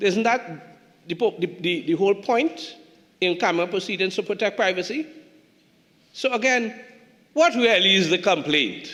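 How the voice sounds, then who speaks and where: Over noticeable background noise, a man with a Tobago accent and a high pitch talks at a moderate pace with lively intonation and long, frequent pauses. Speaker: politician. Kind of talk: parliamentary debate speech. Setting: parliament chamber. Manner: halting, repeats words.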